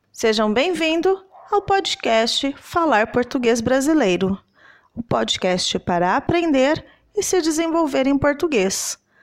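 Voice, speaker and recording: Very slowly, a woman with a high voice speaks in very wide pitch swings. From Southeast Brazil. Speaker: language teacher podcaster. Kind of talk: scripted language-lesson dialogue and explanation. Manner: clear didactic delivery.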